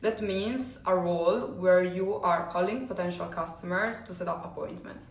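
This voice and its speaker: With a non-native accent, a woman speaks at a moderate pace and medium pitch amid noticeable background noise and audible room echo. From Italy, Rome. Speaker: sales coach. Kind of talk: personal story monologue. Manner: hesitant, many fillers.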